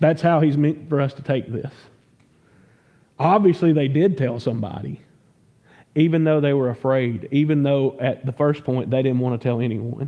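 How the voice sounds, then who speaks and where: Speaking at a moderate pace with a Southern US accent, a man with a fairly high pitch leaves long, frequent pauses. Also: ordinary pitch variation. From US South. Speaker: pastor. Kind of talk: sermon. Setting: church. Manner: conversational, stumbling repeats.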